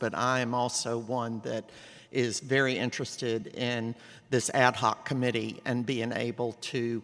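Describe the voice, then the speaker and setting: A man with an American accent speaks loudly at a moderate pace, in a medium pitch with a bright, sharp tone. The recording is very clean, with a silent background. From Columbia, South Carolina. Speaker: public commenter at council meeting. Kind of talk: public comment. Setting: council meeting chamber. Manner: hesitant with fillers.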